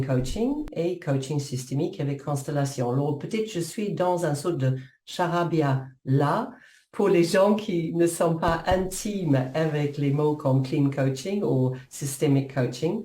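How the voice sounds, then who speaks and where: In a New Zealand accent, a woman speaks at a very slow pace with a very deep, low pitch. Her tone is dark and mellow, somewhat breathy, with audible room echo. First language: English (speaking French). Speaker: coach and author. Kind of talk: interview. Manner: halting.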